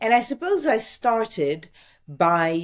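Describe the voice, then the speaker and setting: In a very clean recording with a silent background, a woman with an Italian accent speaks with very wide pitch swings. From Italy. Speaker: TV news presenter and journalist. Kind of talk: interview answer.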